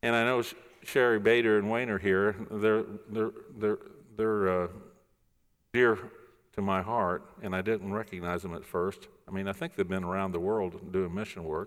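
In a very clean recording with a silent background, a man with a fairly low pitch speaks at a moderate pace with fairly even intonation and long, frequent pauses. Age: 60s. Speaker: pastor. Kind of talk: sermon. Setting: church.

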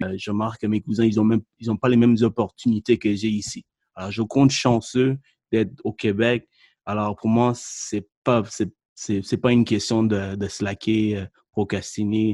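A man speaks at a fairly slow pace in a dark, mellow tone with monotone, flat intonation. The sound is dry and close, with no echo. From Sri Lanka. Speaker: podcast host, mortgage broker. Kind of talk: podcast interview.

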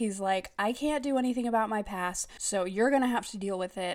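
On a very clean recording with a silent background, the speaker has an animated tone and ordinary pitch variation. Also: woman. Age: 30s. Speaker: podcast host reviewing books. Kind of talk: casual solo commentary.

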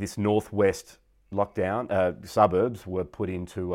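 A man with an Australian accent talks in a very deep, low voice, and his intonation stays fairly even. The recording is very clean, with a silent background. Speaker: podcast host. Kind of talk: interview.

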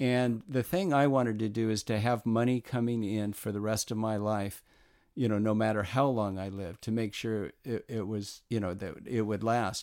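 In a very clean recording with a silent background, a man with a medium pitch and an American accent speaks with fairly even intonation. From Southern California. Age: 60s. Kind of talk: interview.

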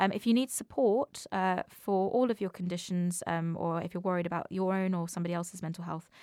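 A woman speaks in an ordinary speaking voice at a medium pitch and a moderate pace. The sound is dry and close with no echo, on a very clean recording with a silent background. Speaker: podcast host, comedian. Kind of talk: casual chat.

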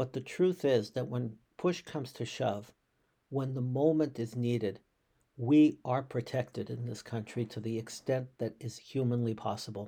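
A man with an American accent speaks at medium pitch and a moderate pace, with ordinary pitch variation. His tone is dark and mellow, and somewhat breathy. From US Northeast, Boston. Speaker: rabbi. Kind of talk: podcast monologue, reflective commentary. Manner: halting, frequent repetitions.

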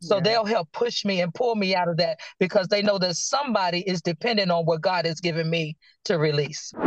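Very even loudness in a Virginia accent. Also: woman, fairly low pitch for a woman, ordinary pitch variation, fairly quick pace. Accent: US Southern (Virginia). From Virginia, Danville. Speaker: prophet and minister. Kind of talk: casual chat.

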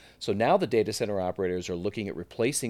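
A plain, everyday voice from a man, fairly low in pitch with ordinary pitch variation, on a very clean recording with a silent background. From US West Coast (Silicon Valley, California). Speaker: tech company executive. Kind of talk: interview.

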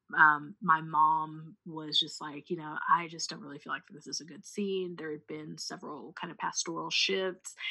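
A woman's plain, everyday voice, fairly low in pitch, at a moderate pace with fairly even intonation. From US Midwest (rural Missouri). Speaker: preacher and writer. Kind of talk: casual chat. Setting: call.

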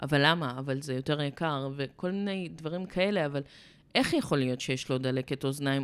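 A woman talks with lively intonation. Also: very clean recording, silent background. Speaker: dog behavior therapist. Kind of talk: casual chat.

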